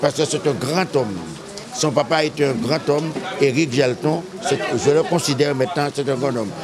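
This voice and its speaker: There is noticeable background noise behind a man talking at a moderate speed. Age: 70s. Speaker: community figure honored at inauguration. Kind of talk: public speech. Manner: emphatic, repetitive.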